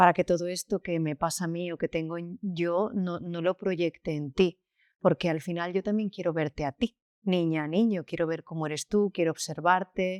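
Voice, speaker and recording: Against a quiet background, a woman with a fairly low pitch speaks in fairly even intonation, the sound dry and close with no echo. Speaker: school founder. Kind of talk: interview. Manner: slow.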